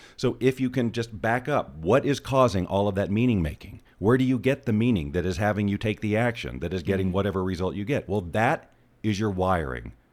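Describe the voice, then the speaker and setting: Speaking with an American accent, a man uses a fairly low pitch and lively intonation. He talks at a fairly quick pace. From US South. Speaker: life coach and law of attraction author. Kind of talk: podcast interview.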